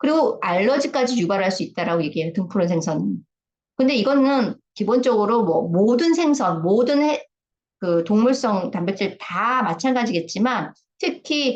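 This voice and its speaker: Her pitch is fairly high, and it swings very widely. The woman talks at a moderate pace. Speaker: health lecturer. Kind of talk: lecture. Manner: casual, with filler sounds.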